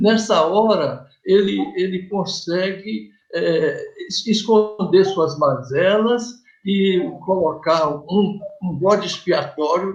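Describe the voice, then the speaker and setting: A man's voice, high for a male, moves with lively intonation. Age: 70s. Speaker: community TV interviewer. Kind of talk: interview. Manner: halting.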